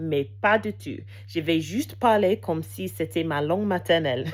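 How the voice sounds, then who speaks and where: Very wide pitch swings mark this woman's voice. She talks at a fairly slow pace. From England. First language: English (speaking French). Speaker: language learner vlogger. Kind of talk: casual unscripted monologue. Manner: halting, many hesitations.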